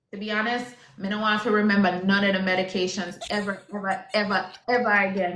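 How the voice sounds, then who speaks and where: In a Jamaican accent, the speaker goes at a fairly quick pace with monotone, flat intonation over noticeable background noise. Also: woman. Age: 30s. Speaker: IVF patient sharing her story. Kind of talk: casual chat.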